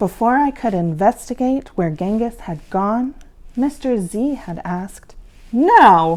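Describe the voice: Lively intonation in plain reading aloud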